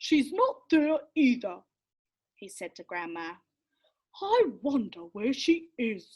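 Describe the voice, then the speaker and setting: A put-on character voice with very wide pitch swings, a fairly slow pace and long, frequent pauses. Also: female-sounding voice, high pitch for a woman. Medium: read story. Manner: anxious.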